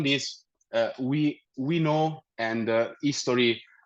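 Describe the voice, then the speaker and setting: Here a man talks in an Italian accent. His pitch moves with ordinary variation. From Italy. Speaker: technical account manager. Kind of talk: webinar presentation. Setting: virtual meetup with screen share. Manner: hesitant, many fillers and restarts.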